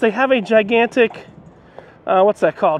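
Recorded dry with no echo, the voice moves at a moderate pace. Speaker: travel vlogger. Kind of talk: casual vlog chat. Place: street. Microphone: phone near.

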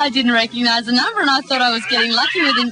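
Lively intonation and an upbeat tone come through over noticeable background noise. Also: woman. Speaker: radio announcer. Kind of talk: breakfast radio banter.

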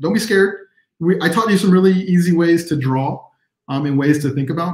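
Somewhat breathy, a man speaks at a fairly quick pace, with audible room echo against a quiet background. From Texas. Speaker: illustrator and teacher; teacher. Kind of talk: live online workshop. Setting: video livestream. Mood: friendly, encouraging. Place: home room.

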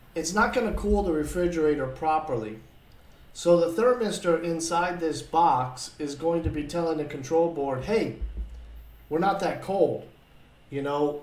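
Speaking at a moderate pace in a room with audible echo, a man has a high pitch and ordinary pitch variation. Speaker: appliance repair instructor. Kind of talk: lecture. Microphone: webcam.

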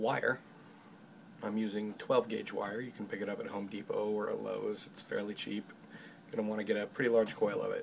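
A soft-spoken man over light background noise. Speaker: hobby craftsman. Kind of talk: ASMR tutorial. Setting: home recording with a microphone setup. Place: workshop. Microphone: phone near.

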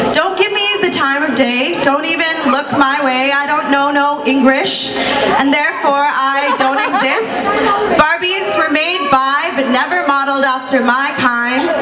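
Over crowd noise in the background, a woman with a high pitch speaks in a raised, projected voice at a fairly slow pace. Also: ordinary pitch variation. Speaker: spoken word poet. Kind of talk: spoken word poetry performance. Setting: live stage at cultural show. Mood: defiant, pointed.

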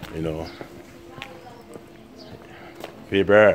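Over light background noise, a man with a very deep, low pitch speaks at a fairly slow pace. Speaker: travel vlogger. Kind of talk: casual vlog chat. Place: street. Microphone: phone near.

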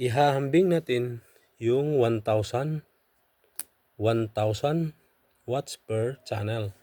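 A man's medium-pitched voice with a dark, mellow tone and ordinary pitch variation, very slow and broken by long, frequent pauses, in a dry, close sound with no echo. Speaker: audio equipment vlogger. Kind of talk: tutorial. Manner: halting.

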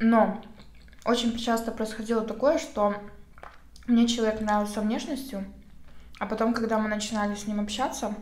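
A woman speaks at a moderate pace with fairly even intonation, leaving long, frequent pauses. Audible room echo fills the recording. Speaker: vlogger. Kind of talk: casual vlog chat while eating. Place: home room.

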